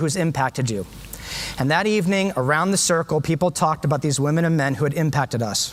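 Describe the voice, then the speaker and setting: With an American accent and a high pitch, a man speaks very fast with ordinary pitch variation over noticeable background noise. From US, San Diego. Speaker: education speaker, former teacher. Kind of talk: conference talk. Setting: stage with audience. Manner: animated.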